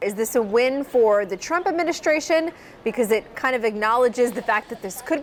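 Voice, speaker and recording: A woman with a high pitch speaks very fast, her intonation lively. Noticeable background noise runs underneath. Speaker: television news anchor and reporter. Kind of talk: broadcast news anchoring and field reporting. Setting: studio news anchor desk.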